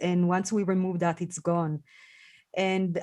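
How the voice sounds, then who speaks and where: A woman with a non-native accent speaks at a medium pitch against a quiet background. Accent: foreign. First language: not English. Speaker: podcast host. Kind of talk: podcast interview conversation. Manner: halting, many fillers.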